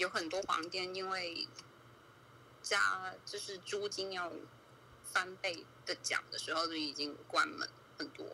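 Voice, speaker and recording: A woman speaks at a very slow pace. Long, frequent pauses break up her words. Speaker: viewer guest on a livestream. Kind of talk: casual chat.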